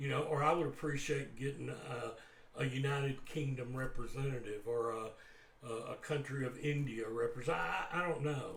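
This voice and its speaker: Spoken in a Southern US accent, the voice carries audible room echo and noticeable background noise. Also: man. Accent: Southern US drawl. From US South. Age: old. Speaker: guitar teacher. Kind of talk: casual talk to camera. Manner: halting, many repeated words.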